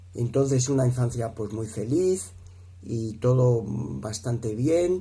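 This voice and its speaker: A man speaks at a very slow pace in a Madrid accent. His tone is dark and mellow, and somewhat breathy. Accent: Castilian Spanish (Madrid). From Spain, Madrid. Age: 60s. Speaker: speaker at a marriage prep course. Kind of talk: testimony. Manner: halting, many fillers.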